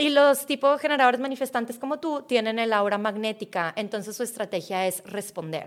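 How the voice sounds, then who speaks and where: Speaking with a Mexican accent, a woman with a fairly high voice talks at a fairly quick pace with lively intonation. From Mexico. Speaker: mindset coach. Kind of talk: interview.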